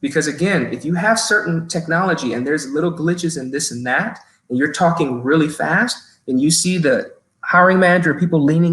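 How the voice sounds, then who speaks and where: This man talks at a fairly quick pace, his high voice rising and falling in an ordinary way. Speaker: human resources professional. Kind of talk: webinar talk giving interview tips. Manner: frequent fillers and repetitions.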